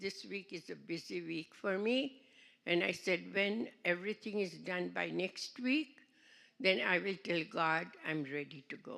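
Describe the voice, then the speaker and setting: On a very clean recording with a silent background, a woman talks at a fairly slow pace and medium pitch, her bright, sharp tone edged with vocal fry. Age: 80s+. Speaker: seminar participant. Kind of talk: testimony.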